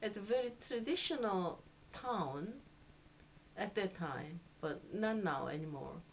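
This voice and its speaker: With a Korean accent, a woman talks at a fairly slow pace in a medium pitch, swinging very widely in pitch and leaving long, frequent pauses. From Seoul, South Korea. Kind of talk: interview answer.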